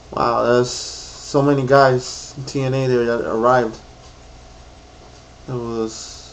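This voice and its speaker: Over noticeable background noise and audible room echo, a man at medium pitch speaks at a very slow pace with long, frequent pauses and monotone, flat intonation. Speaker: YouTuber reviewing wrestling show. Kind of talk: casual vlog recap. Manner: rambling, halting with many fillers.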